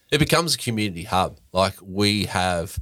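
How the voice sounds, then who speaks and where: A man speaks in an Australian accent on a very clean recording with a silent background. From Queensland, Australia (Brisbane). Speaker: brewery founder and head brewer. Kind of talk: casual chat.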